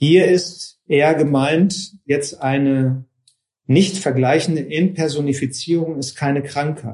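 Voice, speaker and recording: At a very slow pace, a man talks in a fairly high, somewhat breathy voice with fairly even intonation. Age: 50s. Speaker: yoga and Vedanta teacher. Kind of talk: lecture. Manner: hesitant, many fillers.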